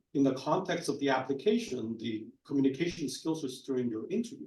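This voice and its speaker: A man's somewhat breathy, dark and mellow voice with fairly high pitch and lively intonation, plus audible room echo. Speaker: physician panelist. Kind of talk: panel discussion. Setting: conference panel with audience.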